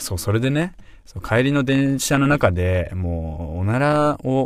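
This man's intonation is lively, and the recording is very clean with a silent background. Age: 30s. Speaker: podcast host. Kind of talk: casual solo monologue. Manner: hesitant, many fillers.

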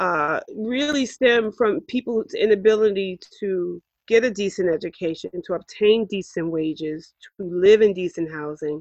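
A woman's medium-pitched voice in a New York accent, fairly slow yet with hardly any pauses, lively in intonation, dry and close with no echo. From New York City, Harlem. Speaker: podcast host, parent advocate. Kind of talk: casual podcast introduction.

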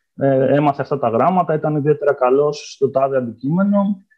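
A man speaks with a normal speaking voice at a fairly high pitch. His intonation is lively and his pace moderate. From Greece, Ioannina. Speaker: historian, postdoctoral researcher. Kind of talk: interview.

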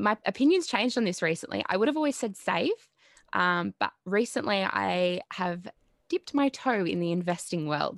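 A woman with an Australian accent speaks at a moderate pace. The sound is dry and close with no echo, over a quiet background. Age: 20s. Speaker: psychology student. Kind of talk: casual chat.

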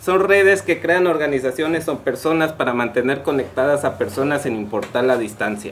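With a Mexican accent, a man talks at a moderate pace in a fairly high voice, barely pausing, while noticeable background noise runs underneath. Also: lively intonation. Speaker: podcast co-host. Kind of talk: casual chat; reading aloud.

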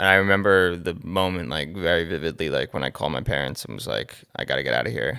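With an American accent, a man speaks in a very deep, low register with a bright, sharp tone, vocal fry, ordinary pitch variation and hardly any pauses. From New Jersey. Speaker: music producer. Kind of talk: casual interview.

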